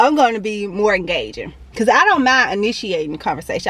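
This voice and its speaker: Through noticeable background noise, a woman with a medium pitch talks fairly quickly with lively intonation. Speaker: fitness vlogger. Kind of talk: casual vlog monologue. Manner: fast.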